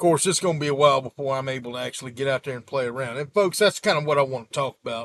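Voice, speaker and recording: In a Gulf Coast accent, the speech runs at a very fast pace with hardly any pauses and big swings in loudness. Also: man, fairly high pitch for a man, ordinary pitch variation, dry, close sound with no echo. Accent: Southern US (Gulf Coast). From US Gulf Coast (South Mississippi / Florida). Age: 40s. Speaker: YouTuber, sailboat owner. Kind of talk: casual vlog update. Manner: casual, rambling with fillers.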